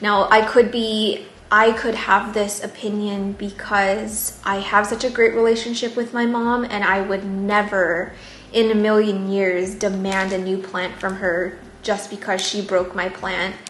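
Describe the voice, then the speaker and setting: Woman at medium pitch, monotone and flat, at a fairly slow pace, with noticeable background noise and audible room echo. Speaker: plant YouTuber. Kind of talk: casual vlog chat and reading stories aloud. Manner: soft-spoken, jaw not fully opening.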